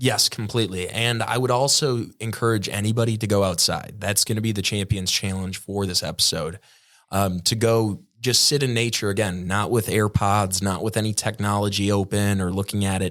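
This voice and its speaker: With very even loudness and fairly even intonation, a man in a normal speaking voice speaks at a moderate pace and fairly low pitch, in a very clean recording with a silent background. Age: young. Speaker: son of the host, podcast guest. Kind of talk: casual chat.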